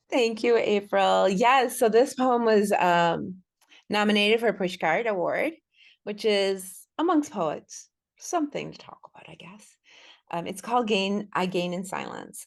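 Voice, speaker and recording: Against a quiet background, a woman with an American accent and an ordinary speaking voice talks at medium pitch and a fairly slow pace, with ordinary pitch variation and big swings in loudness. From US Midwest. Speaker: poet. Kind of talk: interview. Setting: podcast.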